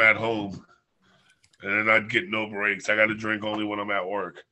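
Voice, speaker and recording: This man's voice stays at a medium pitch while he talks at a moderate pace. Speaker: bartender. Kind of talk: casual chat. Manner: loud. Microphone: connection cutting out.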